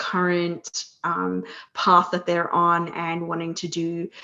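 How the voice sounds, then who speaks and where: Against a quiet background, a woman with an Australian accent speaks very slowly at a medium pitch. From Australia, near Sydney. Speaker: career coach. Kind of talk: podcast interview. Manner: many filler words, hesitant.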